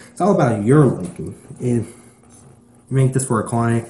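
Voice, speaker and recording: Speaking at a moderate pace, a man uses a medium pitch with ordinary variation and a dark, mellow tone. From Texas. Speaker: YouTube drawing tutorial maker. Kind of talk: drawing tutorial. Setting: at home. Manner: casual, filler-heavy.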